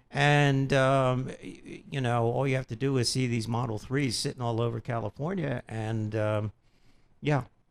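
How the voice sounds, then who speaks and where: An ordinary speaking voice from a man, medium in pitch, fairly slow, with fairly even intonation. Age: 60s. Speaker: car dealership company chief executive. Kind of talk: radio interview.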